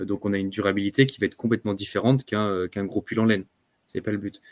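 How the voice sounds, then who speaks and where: A man's fairly low-pitched a plain, everyday voice, fairly even in intonation and fairly quick in pace, dry and close with no echo on a very clean recording with a silent background. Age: 30s. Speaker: clothing brand co-founder, entrepreneur. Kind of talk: podcast interview.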